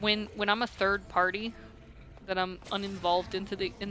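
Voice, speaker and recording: Over music in the background, a woman at medium pitch speaks at a moderate pace in a monotone, flat way. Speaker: video game streamer. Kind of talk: casual chat. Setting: live stream. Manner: halting, many fillers.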